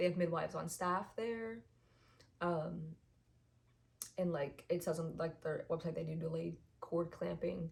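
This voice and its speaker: A fairly slow pace with long, frequent pauses. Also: woman. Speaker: vlogger. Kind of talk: casual chat. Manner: hesitant, many fillers.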